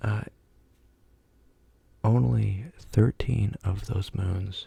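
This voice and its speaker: Soft-spoken with a relaxed tone, the voice moves at a very slow pace. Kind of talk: ASMR fact reading. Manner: soft-spoken, relaxed.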